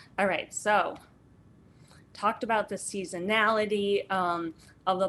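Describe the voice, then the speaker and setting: Speaking at a moderate speed, a woman uses an ordinary speaking voice pitched in the medium range. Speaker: gardening instructor. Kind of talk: online workshop lecture.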